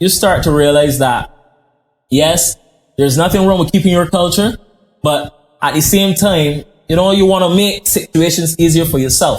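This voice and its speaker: With very even loudness and ordinary pitch variation, a man speaks at a high pitch and a moderate pace, leaving long, frequent pauses. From Barbados. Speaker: chef. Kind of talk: podcast interview.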